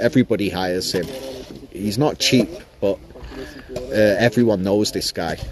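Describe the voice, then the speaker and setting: Music plays in the background as the speech moves at a moderate pace with ordinary pitch variation and long, frequent pauses. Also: man, fairly low pitch for a man. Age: 40s. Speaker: crypto livestreamer. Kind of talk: casual livestream chat. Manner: rambling, casual with fillers.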